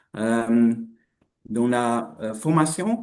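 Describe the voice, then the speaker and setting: In a non-native accent, a man with a medium pitch and a dark, mellow tone speaks with lively intonation. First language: not French (speaking French). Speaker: researcher. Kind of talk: webinar presentation. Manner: halting.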